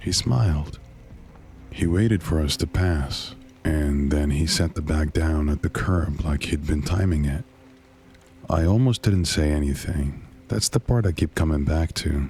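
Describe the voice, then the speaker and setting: A man speaks at a fairly slow pace in a very deep, low voice, his tone calm and his loudness very even, with music playing in the background. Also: ordinary pitch variation. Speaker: horror narrator. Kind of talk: horror story narration.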